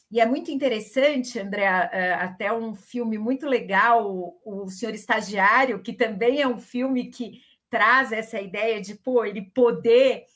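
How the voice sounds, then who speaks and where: At a fairly slow pace, a woman with a fairly high pitch talks in a normal speaking voice, her loudness swinging widely while her pitch varies in an ordinary way. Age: 50s. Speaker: gerontologist, longevity specialist. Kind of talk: panel discussion.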